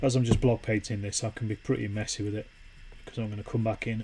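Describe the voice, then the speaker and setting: A man with a Yorkshire accent speaks at a fairly quick pace in a fairly low, somewhat breathy voice with a dark, mellow, relaxed tone and monotone, flat intonation. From Yorkshire, northern England. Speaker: wargaming streamer. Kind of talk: casual live stream chat while painting. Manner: relaxed, conversational.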